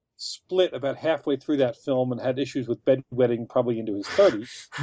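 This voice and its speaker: A man with a normal speaking voice talks at a moderate pace, medium in pitch with ordinary pitch variation. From Philadelphia, Kensington. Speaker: author. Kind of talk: interview.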